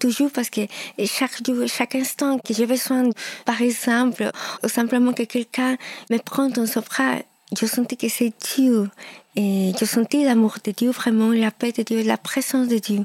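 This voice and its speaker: In a Peruvian accent, the speaker talks in a flat monotone at a very even loudness, with long, frequent pauses and a dry, close sound with no echo. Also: woman, fairly high pitch for a woman, fairly slow pace. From Peru (Lima). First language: Spanish (speaking French). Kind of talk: testimony. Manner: halting.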